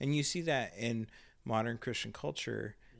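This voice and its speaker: A plain, everyday voice from a man at a medium pitch, lively in intonation and moderate in pace, in a very clean recording with a silent background. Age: 40s. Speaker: pastor. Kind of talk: casual chat. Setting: home studio in a spare bedroom.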